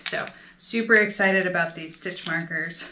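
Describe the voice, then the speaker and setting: Light background noise sits behind a voice with an American accent. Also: woman. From United States. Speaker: knitting video creator. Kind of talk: casual show-and-tell vlog. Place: home room. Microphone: phone near.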